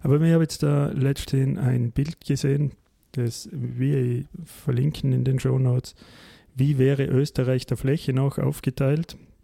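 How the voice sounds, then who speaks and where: At a fairly slow pace, a man speaks at medium pitch with a dark, mellow, somewhat breathy tone, monotone, flat intonation and very even loudness. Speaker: podcast host. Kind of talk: casual political discussion.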